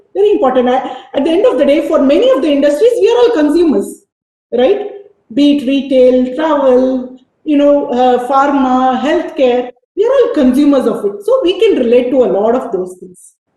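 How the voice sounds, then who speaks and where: At a moderate pace, a woman talks in a high pitch with very wide pitch swings. Audible room echo surrounds her voice. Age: 50s. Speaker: business executive. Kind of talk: motivational talk. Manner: animated.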